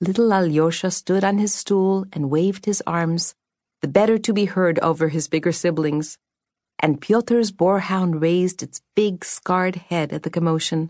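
A woman with a normal speaking voice talks at a moderate pace and medium pitch with fairly even intonation, recorded dry and close with no echo. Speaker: audiobook narrator. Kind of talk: dramatic audiobook narration of a fantasy novel. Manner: storytelling, shifting into character voices for dialogue; measured, atmospheric, expressive.

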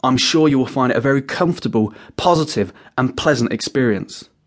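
A man's fairly high voice at a fairly quick pace, with lively intonation and a plain, everyday voice. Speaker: hypnotherapist audiobook narrator. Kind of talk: guided meditation. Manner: gentle, soft-spoken.

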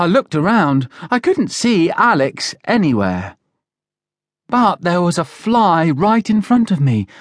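A man with a British accent, high-pitched, at a fairly slow pace, with very wide pitch swings, an animated, dramatic tone, very even loudness and long, frequent pauses, in a dry, close sound with no echo and a quiet background. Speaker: audiobook narrator. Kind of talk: children's audiobook reading, scripted narration. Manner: animated, playing different character voices; expressive storyteller pacing with dramatic emphasis.

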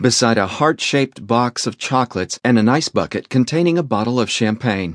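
Simply a natural reading voice

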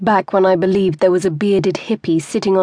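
This unforced reading voice keeps a fairly even intonation.

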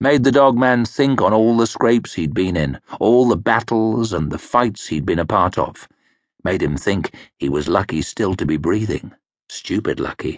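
A man talks at a moderate pace in a fairly low voice with vocal fry. His intonation is lively. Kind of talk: audiobook narration of a fantasy novel. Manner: measured, gritty storytelling, shifting into gruff character voices for dialogue.

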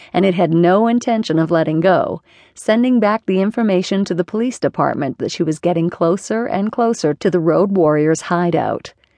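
The woman speaks in a dramatic tone at a fairly low pitch. Her pace is moderate. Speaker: audiobook narrator. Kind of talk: dramatic audiobook narration of a romance thriller. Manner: dramatic, breathless and suspenseful, building tension in the chase.

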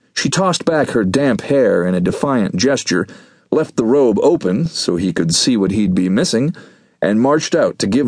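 Voice reading aloud naturally

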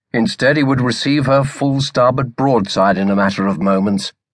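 Against a quiet background, a man with a plain, everyday voice speaks. His pace is moderate and his intonation lively. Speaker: audiobook narrator. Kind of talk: dramatic audiobook narration of a naval battle scene.

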